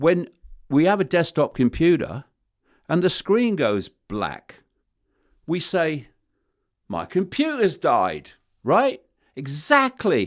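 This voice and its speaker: A man speaks very slowly with long, frequent pauses. His high voice moves in very wide pitch swings. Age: 70s. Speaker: conspiracy theorist author. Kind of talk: interview answer.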